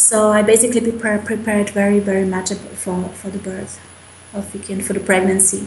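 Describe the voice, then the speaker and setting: Against noticeable background noise, a woman speaks at a medium pitch with monotone, flat intonation. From Slovakia. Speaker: mother. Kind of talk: interview answer.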